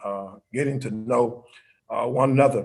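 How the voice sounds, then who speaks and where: With an American accent, a man speaks at a moderate pace with ordinary pitch variation in audible room echo. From Florida, US South (St. Petersburg). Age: 50s. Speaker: pastor. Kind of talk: interview. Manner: halting, many fillers.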